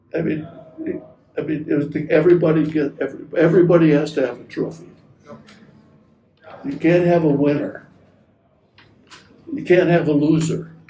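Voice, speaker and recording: A man with an American accent speaks at a fairly high pitch in a dark, mellow tone, his intonation monotone and flat. He keeps a moderate pace with long, frequent pauses, and the room echo is audible. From Wisconsin, US Midwest. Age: 80s+. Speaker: navy veteran interviewed about his life. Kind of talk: oral history interview. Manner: halting.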